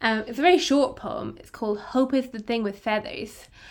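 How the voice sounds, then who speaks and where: In a very clean recording with a silent background, a woman with an Irish accent speaks with ordinary pitch variation. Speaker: podcast co-host. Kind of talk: casual chat.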